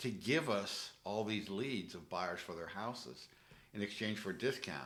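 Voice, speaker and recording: At a moderate pace, a man talks with audible room echo around him. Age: 60s. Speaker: real estate investor. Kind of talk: casual interview. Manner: halting, many fillers.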